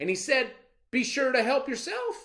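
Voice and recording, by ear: A fairly slow put-on character voice with big pitch swings and a fairly bright tone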